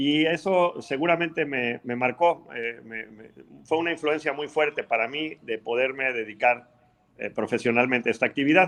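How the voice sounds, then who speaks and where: Here a man talks at a moderate pace with a fairly high pitch. His volume swings widely, and his pitch varies in an ordinary way. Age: 60s. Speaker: aquaculture researcher. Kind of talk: interview. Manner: halting.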